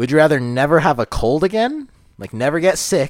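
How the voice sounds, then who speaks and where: A man speaks at a medium pitch and a moderate pace, with very wide pitch swings. The recording is very clean, with a silent background. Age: 20s. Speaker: podcast co-host. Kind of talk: casual chat.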